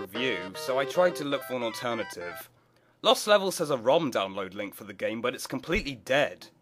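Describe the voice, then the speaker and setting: Over music in the background, a man talks at a fairly quick pace with a medium pitch and very wide pitch swings. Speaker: video game reviewer. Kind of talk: game review narration.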